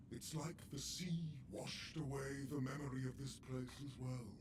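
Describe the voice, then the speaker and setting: Loud background noise sits behind a man doing a put-on character voice at medium pitch and a fairly slow pace. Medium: video game. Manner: chatty, wry.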